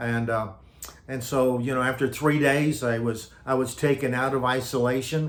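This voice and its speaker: Against audible room echo, a man with an American accent speaks at medium pitch with flat, monotone intonation. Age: 70s. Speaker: retired pastor. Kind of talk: personal testimony. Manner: halting with many fillers and repetitions.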